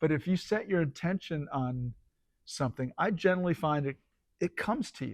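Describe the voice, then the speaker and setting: This man's fairly high voice moves at a fairly quick pace with lively intonation, and the sound is dry and close with no echo. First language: Spanish. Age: 60s. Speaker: writer and surfer. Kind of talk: casual chat. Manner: halting.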